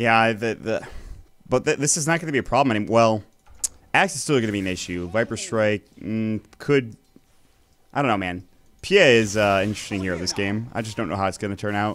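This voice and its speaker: A man's fairly low voice at a fairly quick pace, with ordinary pitch variation and long, frequent pauses. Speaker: esports caster. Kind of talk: live commentary. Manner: fast.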